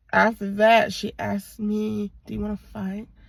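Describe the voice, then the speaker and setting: Somewhat breathy, a woman speaks at medium pitch. Her pace is fairly slow. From Virginia, Portsmouth. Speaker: vlogger. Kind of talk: casual vlog monologue. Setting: in a car. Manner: casual, rambling with fillers.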